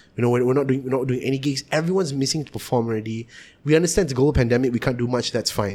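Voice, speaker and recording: A man talks at a very fast pace with a dark, mellow tone. His pitch varies in an ordinary way. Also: medium pitch for a man. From Malaysia, Kuala Lumpur area. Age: 20s. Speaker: musician. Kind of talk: casual chat.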